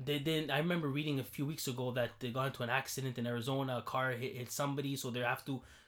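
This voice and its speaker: At a very fast pace, a man speaks in a medium pitch with monotone, flat intonation. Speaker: podcast co-host. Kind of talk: casual chat.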